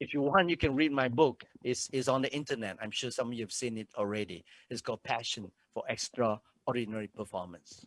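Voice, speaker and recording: The man speaks at a fairly quick pace and medium pitch with ordinary pitch variation, the sound dry and close with no echo. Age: 60s. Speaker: motivational speaker. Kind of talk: motivational talk. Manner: animated.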